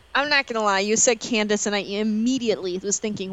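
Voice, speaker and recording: This is an ordinary speaking voice. Its pitch varies in an ordinary way. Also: woman. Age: 20s. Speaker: movie podcast co-host. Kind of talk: casual chat.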